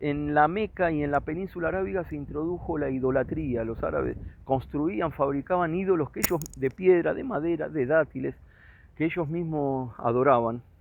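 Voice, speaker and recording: At a moderate pace, a man talks in an ordinary speaking voice, fairly high in pitch, with ordinary pitch variation. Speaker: religious teacher. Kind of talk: lecture.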